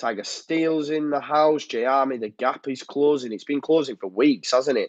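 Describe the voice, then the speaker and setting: A man speaks at a fairly high pitch for a man. His intonation stays fairly even at a moderate pace. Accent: Yorkshire. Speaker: football fan channel host. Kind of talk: live stream chat reading comments. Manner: casual, hesitant with fillers.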